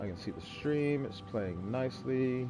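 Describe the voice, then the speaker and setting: With music in the background and audible room echo, a man at a medium pitch speaks with lively intonation. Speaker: gaming streamer. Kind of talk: let's play commentary. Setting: live stream. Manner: casual, halting.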